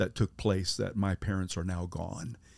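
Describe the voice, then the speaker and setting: A man speaks at fairly low pitch in a dark, mellow tone. The recording is very clean, with a silent background. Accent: American. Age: 50s. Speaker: pastor. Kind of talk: testimony. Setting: camper van mobile studio.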